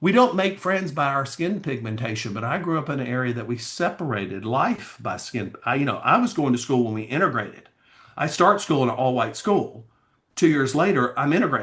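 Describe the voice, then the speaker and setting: Talking at a fairly quick pace in an animated tone, a man with a Southern US accent has a fairly high pitch that swings very widely. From US South, Alabama. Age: 60s. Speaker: pageant coach and attorney. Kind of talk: casual chat.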